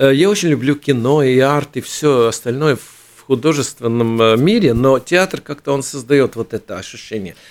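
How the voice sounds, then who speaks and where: Spoken at a moderate pace with hardly any pauses, the clip has ordinary pitch variation and big swings in loudness, on a very clean recording with a silent background. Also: man, medium pitch for a man. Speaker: theatre union head, theatre director. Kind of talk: interview. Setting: radio studio. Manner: halting.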